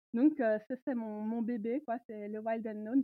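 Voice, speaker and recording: Fairly slow and fairly high-pitched, a woman talks in a normal speaking voice with ordinary pitch variation. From Belgium, countryside. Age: 30s. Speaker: tarot reader and feminist historian. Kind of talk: interview.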